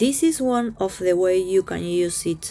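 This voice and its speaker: Noticeable background noise accompanies a woman with a Spanish accent who speaks at a medium pitch with lively intonation. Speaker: crafts youtuber. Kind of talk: tutorial. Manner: halting.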